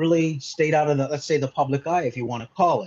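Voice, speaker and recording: The voice carries a Canadian accent and moves at a very fast pace. It sounds somewhat breathy. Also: man. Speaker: mindset consultant. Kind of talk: interview. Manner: halting, many fillers.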